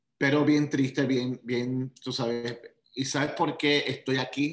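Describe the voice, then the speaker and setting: A man with fairly even intonation. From Puerto Rico. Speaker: motivational speaker and life coach. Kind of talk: interview.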